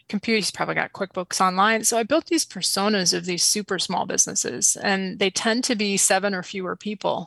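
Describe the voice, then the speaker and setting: A woman's plain, everyday voice at a medium pitch, with an American accent, a fairly quick pace with hardly any pauses, ordinary pitch variation, and a dry, close sound with no echo over a quiet background. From Springfield, Missouri. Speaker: small business owner. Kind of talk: casual interview.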